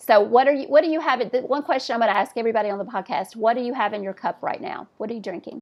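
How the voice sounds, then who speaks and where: Talking at a very fast pace with hardly any pauses, a woman with a Southern US accent uses a fairly high pitch, lively intonation, and big swings in loudness. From US South. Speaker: podcast host. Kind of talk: casual chat.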